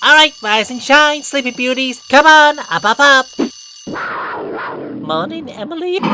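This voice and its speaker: A put-on character voice moves at a moderate pace with long, frequent pauses. Clear background noise is present throughout. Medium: machinima. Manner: bouncy, upbeat.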